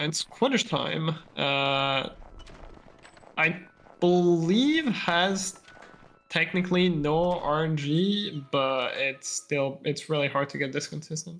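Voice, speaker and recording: Very slow speech in a French accent, broken by long, frequent pauses. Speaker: speedrunner. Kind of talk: live gameplay commentary. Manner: halting.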